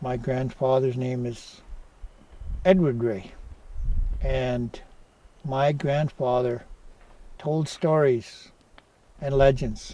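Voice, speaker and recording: A man with a northern Ontario accent speaks at a very slow pace with long, frequent pauses. His pitch is medium and his intonation fairly even. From northwestern Ontario First Nation, Deer Lake. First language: Oji-Cree. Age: 60s. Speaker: community elder. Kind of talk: personal storytelling interview. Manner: halting.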